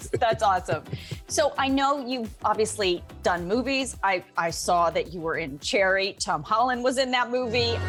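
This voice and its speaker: With music in the background, a woman talks at a moderate pace and medium pitch with lively intonation. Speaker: news anchor. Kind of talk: interview questions.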